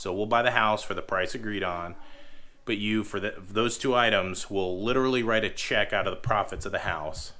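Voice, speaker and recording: A man's fairly low, bright and sharp voice with fairly even intonation and audible room echo. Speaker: homestead farmer. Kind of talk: casual vlog talk.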